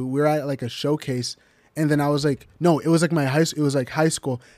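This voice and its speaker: The recording has a dry, close sound with no echo as a man talks at a fairly quick pace in a fairly high voice with fairly even intonation. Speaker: semi-pro soccer player. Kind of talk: casual chat. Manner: halting.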